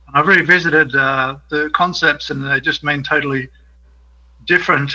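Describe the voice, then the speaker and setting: A man's fairly high, bright, sharp voice with monotone, flat intonation. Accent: Australian. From Australia. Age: 60s. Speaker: caller. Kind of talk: call-in comment.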